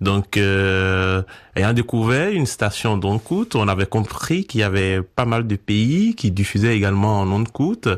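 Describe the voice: Fairly slow speech in a Beninese accent, on a very clean recording with a silent background. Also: man.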